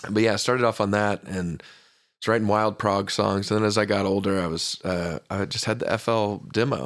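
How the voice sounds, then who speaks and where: A man with an American accent speaks at a fairly quick pace in a plain, everyday voice, fairly low in pitch. His intonation is fairly even, on a very clean recording with a silent background. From US South. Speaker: electronic music producer. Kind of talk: casual chat. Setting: studio.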